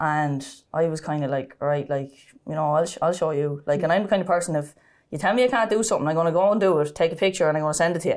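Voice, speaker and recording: A woman with a Kildare Irish accent, very deep and low in pitch, talking very fast with ordinary pitch variation. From Ireland, County Kildare (Sallins). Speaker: ladies Gaelic footballer. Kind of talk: interview, personal testimony.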